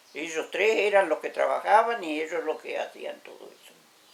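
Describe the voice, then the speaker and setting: Moderately paced speech from a woman, with noticeable background noise around it. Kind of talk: interview answer.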